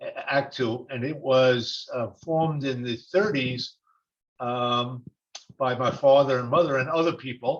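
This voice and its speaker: A man with a New York accent at a fairly slow pace. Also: medium pitch for a man, ordinary pitch variation. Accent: New York (Brooklyn), noticeable. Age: 70s. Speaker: retired attorney, webinar participant. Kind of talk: question in webinar Q&A. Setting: video webinar, joining by phone. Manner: halting, many fillers. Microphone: phone.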